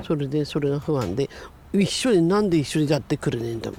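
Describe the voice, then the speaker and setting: A woman's very deep, low voice in an Iwate accent. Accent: Iwate Tohoku dialect. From Iwate, Japan (Miyako). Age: 70s. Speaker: disaster survivor. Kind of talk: interview. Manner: halting.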